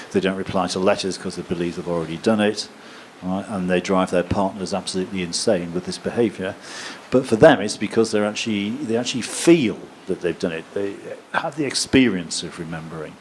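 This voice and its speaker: In an English accent, a man with a very deep, low pitch speaks at a fairly quick pace with ordinary pitch variation over noticeable background noise. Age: 60s. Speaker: professor. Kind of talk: lecture Q&A. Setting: stage with audience.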